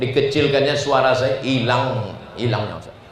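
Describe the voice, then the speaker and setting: A man speaks at a medium pitch. There is audible room echo and noticeable background noise. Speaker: Islamic preacher. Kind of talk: sermon. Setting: mosque gathering with audience. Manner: animated.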